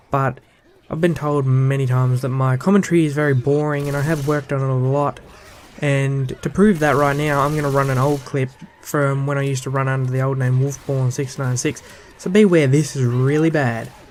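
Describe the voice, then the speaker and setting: A fairly high-pitched man talks at a fairly quick pace with fairly even intonation. Noticeable background noise runs underneath. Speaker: gaming YouTuber. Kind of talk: vlog monologue. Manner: monotone.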